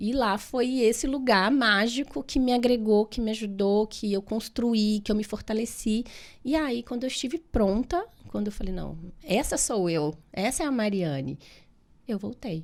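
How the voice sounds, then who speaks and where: In a very clean recording with a silent background, a woman with a Minas Gerais accent talks at a fairly slow pace, her fairly high voice rising and falling in lively intonation. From Minas Gerais, Brazil. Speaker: physiotherapist and therapist. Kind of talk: podcast interview.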